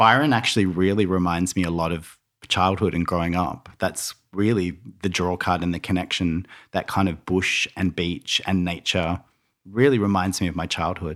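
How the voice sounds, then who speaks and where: With an Australian accent, a man speaks at a moderate pace in a very deep, low pitch. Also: fairly even intonation, very clean recording, silent background. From Tasmania and Melbourne, Australia. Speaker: interior stylist and designer. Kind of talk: casual interview chat.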